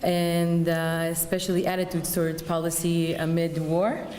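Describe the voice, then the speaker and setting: A woman at a moderate pace and fairly low pitch, with audible room echo and noticeable background noise. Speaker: political science researcher. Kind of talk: conference presentation.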